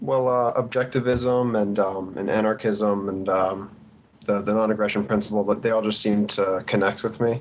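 Fairly even intonation and very even loudness at a moderate pace. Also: man, fairly low pitch for a man. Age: young. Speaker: caller, psychology student. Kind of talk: call-in conversation. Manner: flat.

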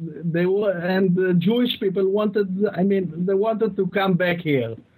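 Speaking with hardly any pauses, a man with an Israeli accent has a high pitch, a dark, mellow tone, very even loudness and fairly even intonation. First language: Hebrew. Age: 30s. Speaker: listener calling in. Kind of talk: call-in conversation.

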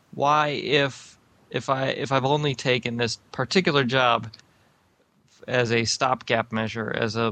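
His intonation is fairly even. The man talks very slowly. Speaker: caller.

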